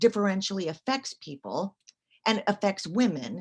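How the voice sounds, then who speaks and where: A woman talks at a medium pitch with lively intonation. Her voice is somewhat breathy. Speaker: academic lecturer. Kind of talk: lecture. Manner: fast.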